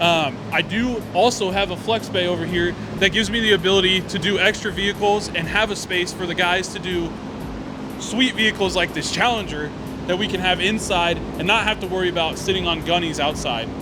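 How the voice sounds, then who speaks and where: Over noticeable background noise, a man talks in a raised, projected voice at a high pitch and a fairly quick pace, with ordinary pitch variation. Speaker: auto shop staff giving tour. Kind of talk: guided walkthrough tour. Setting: walking through auto shop. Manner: loud, raised voice.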